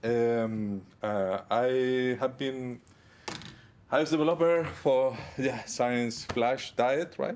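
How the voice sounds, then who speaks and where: A man speaks at a very slow pace with a strong non-native accent. His pitch is medium, with ordinary variation. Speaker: iOS developer. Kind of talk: conference talk. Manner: halting, many fillers.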